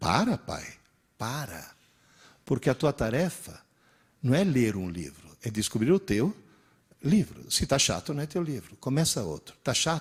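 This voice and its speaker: A man at a medium pitch, with vocal fry, very wide pitch swings, a fairly slow pace and long, frequent pauses. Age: 60s. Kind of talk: lecture.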